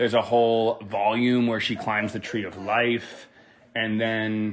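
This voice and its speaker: Monotone and flat in intonation, a man speaks at a medium pitch and a fairly slow pace. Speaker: podcast co-guest discussing magick. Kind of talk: casual chat. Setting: home living room recording. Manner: loud. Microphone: too close to the mic.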